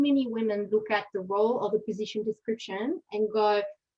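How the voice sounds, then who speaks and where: In a French accent, a woman talks at a moderate pace with a fairly high pitch. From France. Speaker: aid and development leader, panelist. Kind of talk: panel discussion. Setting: webinar video call. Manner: hesitant, many fillers.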